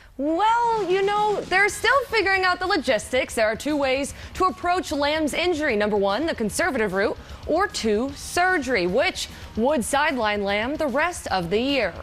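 A woman speaks at a high pitch and a moderate pace, her pitch swinging very widely, with music in the background. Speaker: sports reporter. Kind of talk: TV sports news anchoring. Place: studio.

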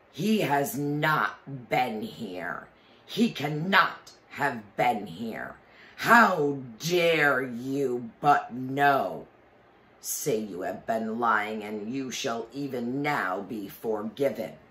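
This put-on character voice bellows loudly at a very slow pace. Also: man, medium pitch for a man. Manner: furious.

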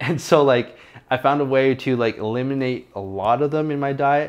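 The speaker is a man. His pace is moderate. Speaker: fitness vlogger. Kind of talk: casual vlog chat. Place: kitchen.

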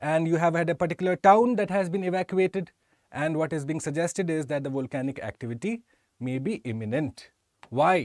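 The man's voice is high and his intonation lively, recorded dry with no echo. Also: quiet background. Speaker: exam prep teacher. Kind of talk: lecture. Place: studio. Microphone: lapel.

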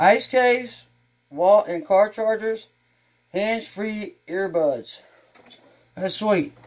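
Speech comes at a very slow pace with long, frequent pauses, in a Texan accent. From Texas. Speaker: YouTuber doing unboxing videos. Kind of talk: casual unboxing vlog. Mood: cheerful, excited. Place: home room. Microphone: camera far.

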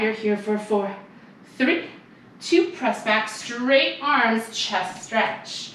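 A woman's intonation is lively, with noticeable background noise behind her. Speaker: barre fitness instructor. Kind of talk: follow-along workout class cueing reps and counts. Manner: upbeat, encouraging, counting down pulses briskly; warm, giggly, chatty asides.

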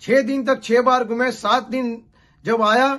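This man's voice sits at an extremely high pitch. His tone is bright and sharp. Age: 50s. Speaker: pastor. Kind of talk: sermon; prayer.

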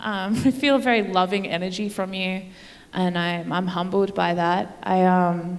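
A woman with an Australian accent talks at a medium pitch and a moderate pace, her intonation fairly even. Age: 30s. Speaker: comedian. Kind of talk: stand-up. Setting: stage with audience. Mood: playful, mock-sincere. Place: stage. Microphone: handheld.

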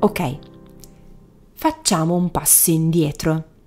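The woman's voice sits fairly low and has a dark, mellow tone. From Italy. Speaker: Italian language teacher and podcast host. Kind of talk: scripted narration. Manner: clear and measured for learners.

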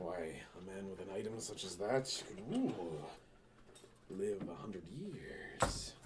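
Using a put-on character voice with a fairly low pitch, a man speaks at a very slow pace with long, frequent pauses over clear background noise. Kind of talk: pirate stage speech, comic overacting. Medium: short film. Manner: grandiose, mocking, storytelling.

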